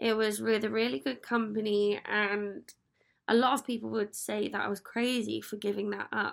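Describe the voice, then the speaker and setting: Here is a woman with an English accent. Her voice is fairly high in pitch. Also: moderate pace, very clean recording, silent background. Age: 30s. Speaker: podcast host. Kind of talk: solo podcast monologue. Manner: casual, upbeat.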